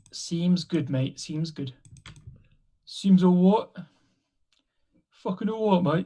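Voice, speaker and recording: With a dark, mellow tone and high pitch, a man talks at a very slow pace with ordinary pitch variation and long, frequent pauses. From Britain. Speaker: Magic the Gathering player. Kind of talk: casual chat during gameplay.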